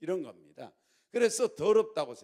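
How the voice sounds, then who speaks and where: Dark, mellow male voice at a fairly quick pace. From Jeolla, South Korea. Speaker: pastor. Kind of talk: sermon. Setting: church.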